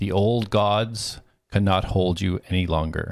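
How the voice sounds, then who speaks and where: Using a put-on character voice, a man speaks at a fairly slow pace with fairly low pitch. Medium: actual play.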